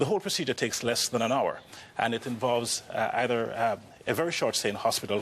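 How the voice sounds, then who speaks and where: Through noticeable background noise, a man talks very fast at a medium pitch, with very even loudness and ordinary pitch variation. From Jamaica. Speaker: orthopedic spine surgeon. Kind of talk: TV talk show interview.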